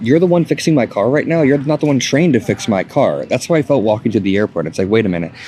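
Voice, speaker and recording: Through noticeable background noise, a man speaks with lively intonation. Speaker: political commentator. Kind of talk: vlog monologue. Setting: airport. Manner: speaking quietly.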